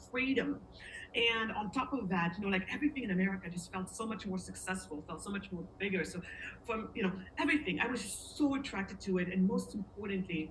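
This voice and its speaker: A woman at medium pitch, lively intonation and a fairly quick pace, over noticeable background noise. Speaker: interviewee sharing life story. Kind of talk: casual interview, personal story. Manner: halting, searches for words.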